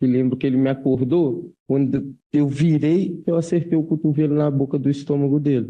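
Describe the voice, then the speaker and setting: A man at a medium pitch talks with fairly even intonation. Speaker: defendant in court. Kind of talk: court testimony. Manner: loud.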